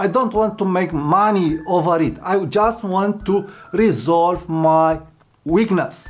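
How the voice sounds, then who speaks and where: A man with a non-native accent and a high pitch, very slow pace, ordinary pitch variation, and noticeable background noise. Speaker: YouTuber. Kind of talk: tutorial. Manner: repetitive, somewhat halting.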